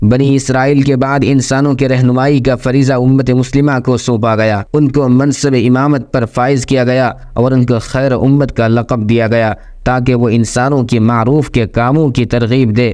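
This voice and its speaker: A man speaks in a monotone with flat intonation and a medium pitch. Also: very even loudness. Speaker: Islamic preacher. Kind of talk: Urdu sermon explaining Quranic verses and hadith. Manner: formal, measured, religious oratory.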